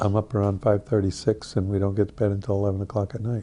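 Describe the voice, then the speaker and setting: At a very fast pace, a man speaks with a fairly low pitch and a dark, mellow, somewhat breathy tone. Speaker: orchard farmer. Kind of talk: documentary interview.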